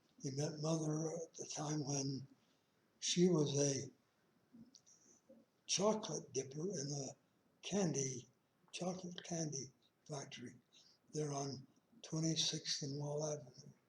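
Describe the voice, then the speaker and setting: A man with an American accent sounds somewhat breathy, his intonation fairly even. He leaves long, frequent pauses. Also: fairly high pitch for a man. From Utah, Ogden. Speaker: elderly man telling life story. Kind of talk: oral life history. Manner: halting.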